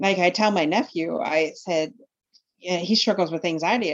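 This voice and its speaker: Lively intonation marks this woman's medium-pitched voice, a plain, everyday voice. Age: 40s. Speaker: life coach. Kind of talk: interview.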